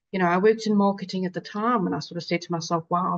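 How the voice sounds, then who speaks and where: Spoken at a very fast pace with a South African accent, the voice keeps a fairly even intonation in a dry, close sound with no echo. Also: woman. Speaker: patient advocate. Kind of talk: webinar panel talk.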